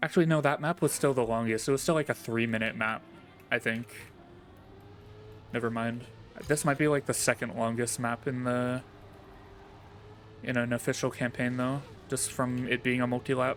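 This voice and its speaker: With music playing behind him, a man with an American accent speaks at a moderate pace and medium pitch, his intonation fairly even, with long, frequent pauses. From New York. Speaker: video game streamer. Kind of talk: live gameplay commentary. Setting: live stream. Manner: casual, rambling self-corrections.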